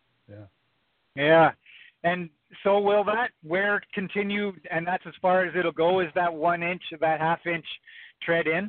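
Speaking with a Western Canadian accent, a man talks at a fairly slow pace in a high pitch, his intonation fairly even and his pauses long and frequent. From British Columbia, Canada. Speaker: truck driver. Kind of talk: call-in question. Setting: phone call.

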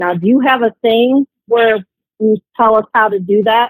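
A woman with an American accent has an unremarkable speaking voice. Her pitch is fairly high, with ordinary pitch variation. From Ohio. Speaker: caller. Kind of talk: phone-in question.

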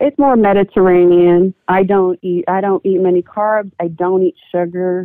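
A woman with a normal speaking voice talks at a medium pitch and a moderate pace. Her intonation is fairly even, with hardly any pauses. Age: 40s. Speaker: military veteran and caller. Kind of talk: phone-in call about health. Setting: phone call.

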